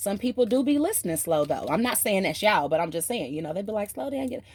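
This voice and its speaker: With a Southern US accent, a woman uses an animated tone and lively intonation at a medium pitch. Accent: Southern country. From US South. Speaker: tarot reader. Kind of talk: tarot reading.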